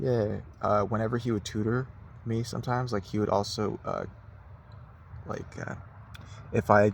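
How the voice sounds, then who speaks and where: At a moderate pace, the voice carries vocal fry and a fairly even intonation. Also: man. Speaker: vlogger. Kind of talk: casual monologue. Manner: halting, stuttering; filler-heavy.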